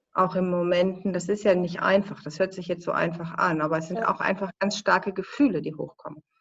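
Her ordinary speaking voice at a medium pitch, a woman talks at a fairly quick pace with fairly even intonation and hardly any pauses. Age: 50s. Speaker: filmmaker. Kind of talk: interview.

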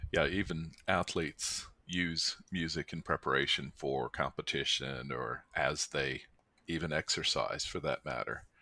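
A man in a Southern US accent speaks fairly slowly at a very deep, low pitch, with a bright, sharp tone, vocal fry and fairly even intonation, in a dry, close sound with no echo. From US South (Mississippi). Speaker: podcast host. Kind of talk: casual chat.

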